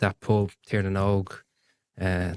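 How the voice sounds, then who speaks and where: In an Irish accent, a man speaks at a fairly low pitch with monotone, flat intonation, on a very clean recording with a silent background and a dry, close sound with no echo. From Ireland. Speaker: firefighter and whiskey enthusiast. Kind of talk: casual chat.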